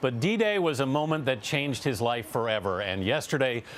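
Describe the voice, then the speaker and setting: This is a man talking. There is noticeable noise in the background. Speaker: TV news correspondent. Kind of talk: TV news report.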